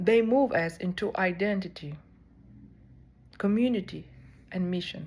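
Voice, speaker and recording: A woman speaks with a South Sudanese accent and fairly even intonation. The recording is very clean with a silent background. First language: Dinka. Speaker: seminary student. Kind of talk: personal reflection.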